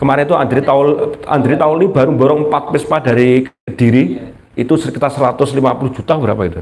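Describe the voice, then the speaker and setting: A man's fairly high-pitched voice at a fairly quick pace, with ordinary pitch variation and very even loudness, over noticeable background noise. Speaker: Islamic preacher. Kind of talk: religious study talk. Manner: animated.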